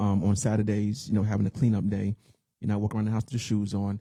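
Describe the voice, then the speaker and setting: A man's fairly low, dark and mellow voice comes through dry and close with no echo. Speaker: podcast co-host. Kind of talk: casual chat.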